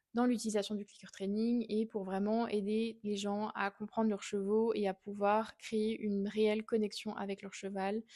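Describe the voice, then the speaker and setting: A woman with a Swiss accent speaks at a fairly high pitch in a dark, mellow tone. Her monotone, flat delivery runs at a fairly slow pace with hardly any pauses. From Switzerland, canton of Fribourg. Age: 20s. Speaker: equine behaviourist and podcast host. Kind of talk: podcast monologue.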